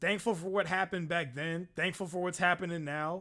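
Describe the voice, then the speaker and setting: Loud and high-pitched, a man speaks in a bright, sharp tone on a very clean recording with a silent background. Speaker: streamer. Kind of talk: casual chat. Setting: live stream.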